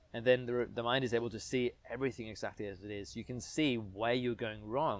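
Recorded very cleanly against a silent background, a man with a plain, everyday voice talks at a fairly quick pace with fairly even intonation. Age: 30s. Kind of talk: interview.

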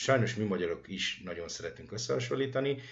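A man speaks with lively intonation at a fairly quick pace. His voice is somewhat breathy, with audible room echo. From Hungary. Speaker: radio host. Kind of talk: interview.

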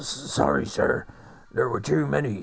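A man speaks at a fairly slow pace in a raspy, put-on character voice of medium pitch. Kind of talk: piratey.

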